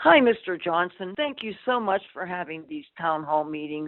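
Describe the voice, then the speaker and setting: In an ordinary speaking voice, a woman talks at a moderate pace. Her pitch is fairly low and her intonation lively. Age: 60s. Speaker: caller. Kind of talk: call-in question. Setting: phone call.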